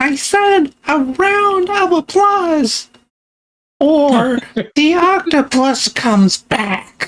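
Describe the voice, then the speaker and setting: A put-on character voice, squeaky and high-pitched. It moves along at a very slow pace. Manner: commanding, mock-authoritative.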